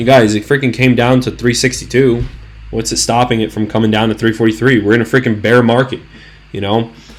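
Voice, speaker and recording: A man's medium-pitched, animated voice with vocal fry at a fairly quick pace. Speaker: stock trading YouTuber. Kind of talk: market analysis video. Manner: stuttering, halting; casual, animated.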